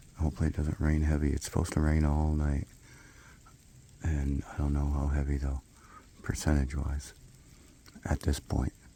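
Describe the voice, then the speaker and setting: The speech moves at a moderate pace in a monotone, flat intonation, with noticeable background noise. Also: man. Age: 60s. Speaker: hunting vlogger. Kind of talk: outdoor vlog narration. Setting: outdoors in woods. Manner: casual, conversational.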